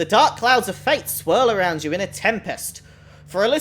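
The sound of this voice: Unforced reading aloud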